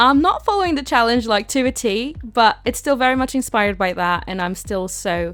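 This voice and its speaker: In a British accent, a woman talks at a fairly quick pace with a fairly high pitch and lively intonation. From Britain. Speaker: gaming YouTuber. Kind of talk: casual voiceover commentary. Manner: chatty, filler-heavy.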